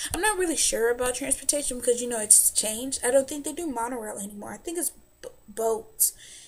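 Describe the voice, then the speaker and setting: A woman with an American accent talks very fast in a high voice. Her tone is animated and her intonation lively. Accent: southern US, stronger when nervous. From US South. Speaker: vlogger. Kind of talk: casual vlog advice.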